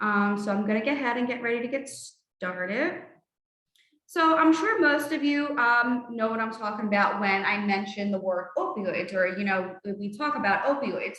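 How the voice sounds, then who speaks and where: With a South Philadelphia accent, a woman talks at a moderate pace and fairly high pitch with ordinary pitch variation, amid audible room echo. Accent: South Philly. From Philadelphia, South Philly. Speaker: harm reduction coordinator, trainer. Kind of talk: online training presentation.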